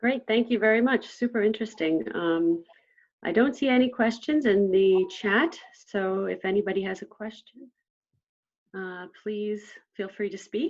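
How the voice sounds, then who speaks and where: This woman has an ordinary speaking voice, pitched fairly high. She talks at a fairly slow pace with ordinary pitch variation. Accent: American. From United States. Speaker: session chair, economics academic. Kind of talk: Q&A moderation.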